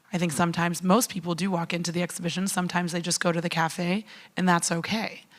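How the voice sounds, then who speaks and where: Talking at a very fast pace in an American accent, a woman keeps a fairly low pitch and a monotone, flat intonation. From United States. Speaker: panel moderator. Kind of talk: panel discussion. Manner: hesitant, many fillers.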